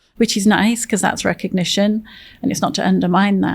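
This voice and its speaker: The speaker is a woman. She has an English accent. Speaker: veteran nonprofit executive, military veteran. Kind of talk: interview conversation.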